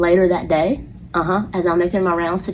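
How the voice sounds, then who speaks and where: A woman with an Atlanta accent, fairly low in pitch, animated in tone and fairly quick in pace. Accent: Southern US (Atlanta). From US South, Atlanta. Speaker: elementary school teacher. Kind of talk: casual storytelling monologue.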